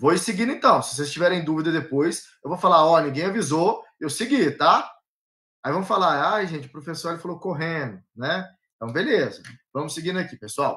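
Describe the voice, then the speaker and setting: A man's high-pitched voice, bright and sharp in tone, at a fairly quick pace with ordinary pitch variation, against a quiet background. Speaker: law exam-prep teacher. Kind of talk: live online lecture. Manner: fast. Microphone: video call.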